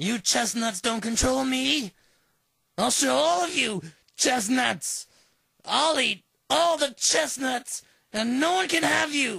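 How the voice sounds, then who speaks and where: The voice is put on as a character, fairly high in pitch. It moves at a fairly slow pace with long, frequent pauses and very wide pitch swings. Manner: frantic, unhinged.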